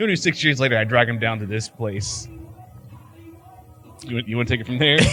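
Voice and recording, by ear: A man speaks at a medium pitch and a fairly quick pace with ordinary pitch variation. Music plays behind him.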